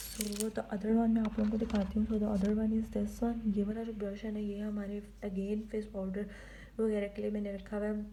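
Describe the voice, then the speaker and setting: Monotone, flat delivery from a woman at a medium pitch, with audible room echo and noticeable background noise. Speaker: beauty vlogger. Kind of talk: makeup tutorial. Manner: soft-spoken, quiet so baby won't wake.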